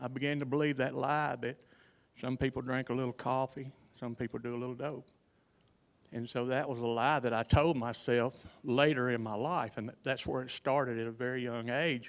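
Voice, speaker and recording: A man speaks at a medium pitch and moderate pace, his intonation monotone and flat. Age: 60s. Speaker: recovery speaker. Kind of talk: testimony. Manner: halting.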